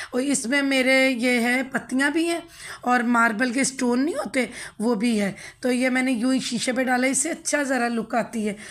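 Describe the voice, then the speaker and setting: High-pitched woman at a moderate pace, with fairly even intonation and very even loudness. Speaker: home cooking and lifestyle vlogger. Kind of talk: home tutorial vlog. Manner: casual.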